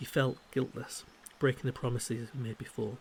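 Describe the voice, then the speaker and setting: A man's whisper, soft-spoken and somewhat breathy. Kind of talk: ASMR book reading. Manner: soft-spoken, whispered.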